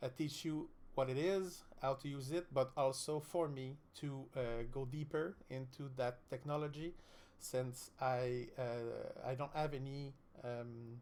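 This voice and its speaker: At a fairly slow pace, a man with a Quebec accent speaks in a fairly high pitch with fairly even intonation. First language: French. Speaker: streamer, student. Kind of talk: live-stream tutorial. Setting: live stream. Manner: halting, many fillers.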